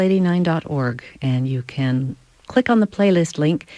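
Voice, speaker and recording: A woman speaks in an unremarkable speaking voice at a fairly low pitch. Her intonation is lively and her pace fairly slow. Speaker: classical radio host. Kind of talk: radio station identification.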